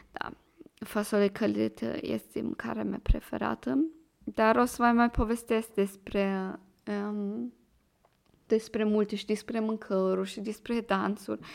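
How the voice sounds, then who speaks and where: A woman's fairly slow speech with a slight Moldovan accent and long, frequent pauses. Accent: slight Moldovan-sounding Romanian. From Germany. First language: German (speaking Romanian). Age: 20s. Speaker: podcast host, student. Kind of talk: casual monologue.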